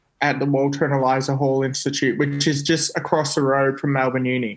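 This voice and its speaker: With an Australian accent, a man talks at a fairly high pitch in a monotone, flat intonation. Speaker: scientist. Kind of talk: casual chat. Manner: halting.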